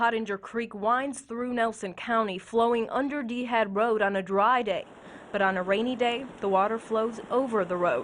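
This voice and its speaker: A woman's fairly high voice at a moderate pace, fairly even in intonation, with noticeable background noise. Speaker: TV news reporter and anchor. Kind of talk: investigative news package narration.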